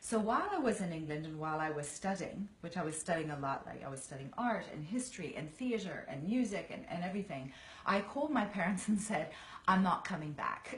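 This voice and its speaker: A woman with an American accent, medium pitch and lively intonation, recorded with audible room echo and noticeable background noise. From Virginia, US. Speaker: actress. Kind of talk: casual chat.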